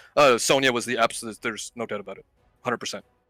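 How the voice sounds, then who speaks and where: Man with a bright, sharp tone on a very clean, dry, close recording with no echo and a silent background. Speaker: esports player. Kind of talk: post-match interview. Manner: loud.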